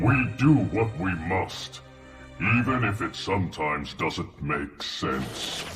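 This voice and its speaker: With clear echo and clear music in the background, a man uses a cartoonish character voice, very deep and low in pitch, with very wide pitch swings and a fairly slow pace. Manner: slow, halting, few words.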